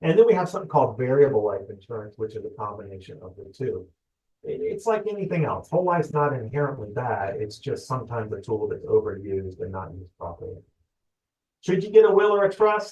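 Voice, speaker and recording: Somewhat breathy and fairly high-pitched, a man talks at a very fast pace with very wide pitch swings and big swings in loudness. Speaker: loan officer. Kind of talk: webinar presentation. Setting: online webinar.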